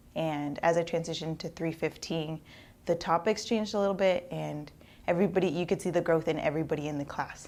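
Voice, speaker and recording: Talking very fast with a Spanish accent, a woman keeps a fairly low pitch and fairly even intonation. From Eastern Washington, US. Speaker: university student. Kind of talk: testimonial.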